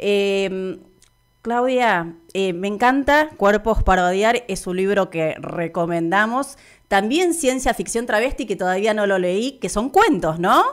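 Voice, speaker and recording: Against a quiet background, a woman talks at a very slow pace. She speaks in a Rioplatense accent. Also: lively intonation. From Argentina. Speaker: radio host. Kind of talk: interview. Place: studio. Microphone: studio mic.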